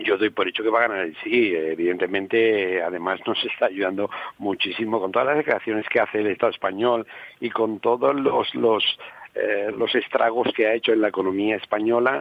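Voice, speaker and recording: A man talks at a fairly quick pace with a fairly low pitch. He has a normal speaking voice with ordinary pitch variation. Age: 60s. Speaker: regional parliament member. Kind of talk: radio interview.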